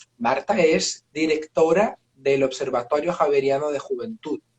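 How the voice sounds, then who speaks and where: A man with a Portuguese accent speaks at a very slow pace, with a dry, close sound and no echo. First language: Portuguese (speaking Spanish). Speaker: professor, moderator. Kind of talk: live online talk introduction. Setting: video livestream. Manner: slow, halting with fillers.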